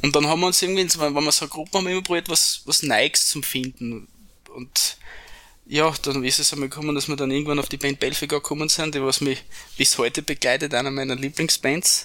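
This man has a bright, sharp tone and a fairly high pitch. He speaks at a fairly quick pace with fairly even intonation. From Upper Styria, Austria. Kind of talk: casual interview chat.

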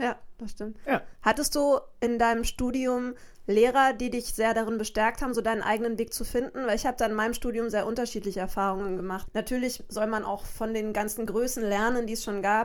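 On a very clean recording with a silent background, a woman with an unremarkable speaking voice talks at a fairly quick pace, her fairly high pitch held in fairly even intonation. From Bavaria. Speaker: podcast host and saxophonist. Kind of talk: casual interview.

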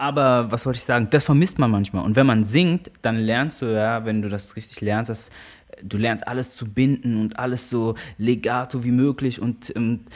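Using a normal speaking voice, a man of medium pitch talks at a moderate pace with ordinary pitch variation. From Germany, Karlsruhe area (Baden). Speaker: musician and percussionist. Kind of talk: interview.

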